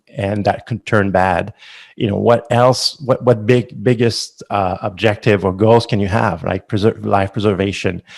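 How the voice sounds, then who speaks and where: Over a silent background in a very clean recording, a man with a Quebec accent speaks at a moderate pace, his pitch fairly low with ordinary variation. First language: French. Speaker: company founder. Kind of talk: interview. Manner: halting.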